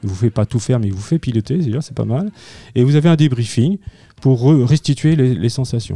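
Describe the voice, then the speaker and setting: Somewhat breathy, lively intonation with long, frequent pauses, and a dry, close sound with no echo. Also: man, medium pitch for a man. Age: 50s. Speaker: amateur pilot, aero club board member. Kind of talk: radio interview.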